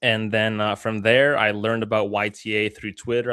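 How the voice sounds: A man's fairly low voice, fairly bright, clear and smooth in tone, at a moderate pace.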